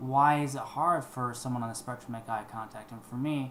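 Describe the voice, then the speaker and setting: Talking at a very fast pace, a man uses a medium pitch and monotone, flat intonation. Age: 20s. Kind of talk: casual talk to camera.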